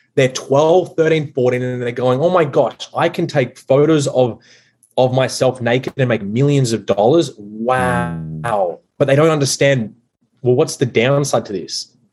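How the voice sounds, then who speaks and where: Fairly slow speech from a man of medium pitch with ordinary pitch variation. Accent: Australian. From Australia. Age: 20s. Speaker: masculinity coach. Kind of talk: casual chat.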